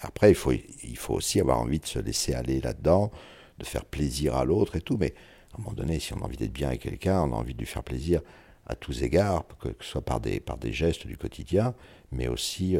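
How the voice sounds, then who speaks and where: Pitched very deep and low, a man speaks at a fairly quick pace with lively intonation, a dark, mellow tone and vocal fry, in a very clean recording with a silent background. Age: 60s. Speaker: interviewee sharing intimate life story. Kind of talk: personal testimony interview. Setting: at his home. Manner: halting, frequent repetitions; eloquent.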